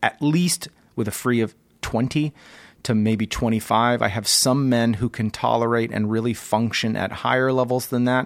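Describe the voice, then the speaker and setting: At a fairly slow pace, a man speaks with medium pitch. His intonation stays fairly even. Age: 40s. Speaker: physician podcast host. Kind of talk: solo educational monologue. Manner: many filler words, hesitant.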